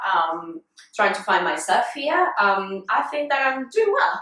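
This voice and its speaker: Speaking with a Colombian accent, a woman uses lively intonation. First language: Spanish. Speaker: fitness vlogger. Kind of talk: casual interview.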